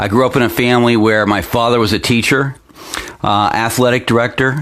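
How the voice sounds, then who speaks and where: A man with an American accent, medium pitch and fairly even intonation, at a fairly quick pace, with very even loudness and noticeable background noise. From Pennsylvania, US. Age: 50s. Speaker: local internet news host. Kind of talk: opinion commentary newscast. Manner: halting, many fillers.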